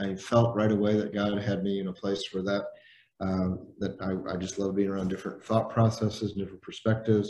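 This man has a normal speaking voice and an American accent. His pitch is fairly low and his pace fairly quick. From Indiana, US Midwest. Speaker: leadership trainer and executive coach. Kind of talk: interview.

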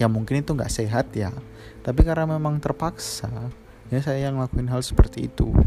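A man talks at a fairly quick pace. Behind him, music plays. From Central Java (Klaten), Indonesia. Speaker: podcast host. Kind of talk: storytelling monologue. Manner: halting.

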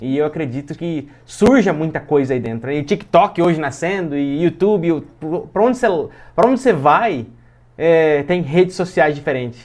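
With a quiet background, a man's fairly high voice carries lively intonation at a moderate pace. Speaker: podcast host. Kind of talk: casual chat.

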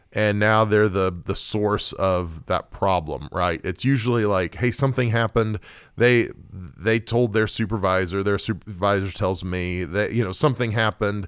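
A man with a plain, everyday voice and an American accent, fairly low in pitch with ordinary pitch variation, at a moderate pace, in a very clean recording with a silent background. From Oklahoma. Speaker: pastor. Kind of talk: casual discussion.

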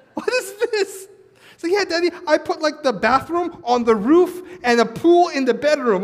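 A man's animated voice at an extremely high pitch, swinging very widely in pitch at a moderate pace, with noticeable background noise. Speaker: pastor. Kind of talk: sermon; preacher in full flow, rousing call-and-response sermon delivery to a live congregation. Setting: church with live congregation. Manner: animated, rousing, urging the congregation to answer back; earnest, warm and exhorting, with prayerful passages.

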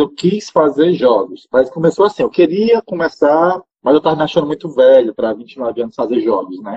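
A plain, everyday voice: a man with fairly high pitch, lively intonation, a moderate pace and hardly any pauses. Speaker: marketing manager and game designer. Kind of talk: interview.

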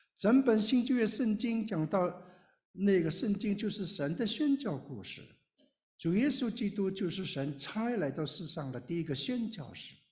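A man's high voice with very wide pitch swings at a fairly slow pace, with audible room echo. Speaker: retired pastor and missionary. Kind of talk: sermon.

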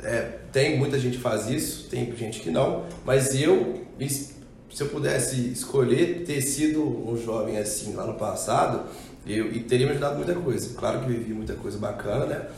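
A man at a medium pitch and moderate pace, with ordinary pitch variation, noticeable background noise and audible room echo. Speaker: clothing brand co-founder. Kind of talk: casual chat.

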